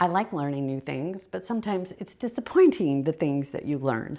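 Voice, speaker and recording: A fairly quick delivery, very cleanly recorded against a silent background. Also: woman. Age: 60s. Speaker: decluttering vlogger. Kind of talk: casual vlog monologue. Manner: musing, thinking aloud with pauses.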